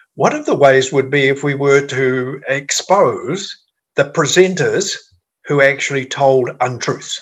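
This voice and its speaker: Somewhat breathy and fairly high in pitch, a man speaks at a fairly slow pace with ordinary pitch variation. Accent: New Zealand. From New Zealand. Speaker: former politician and policy advisor. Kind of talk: interview.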